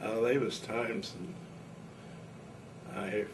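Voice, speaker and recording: Noticeable background noise and audible room echo surround the recording. A man with a Midwestern US accent speaks at a fairly low pitch. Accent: rural Midwestern American. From Indiana. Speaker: war veteran. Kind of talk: oral history interview. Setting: at home. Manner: casual.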